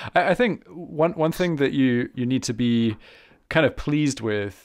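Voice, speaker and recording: On a very clean recording with a silent background, a man speaks at a moderate pace. He has an unremarkable speaking voice with ordinary pitch variation. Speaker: harmonica teacher and podcast host. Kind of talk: casual interview.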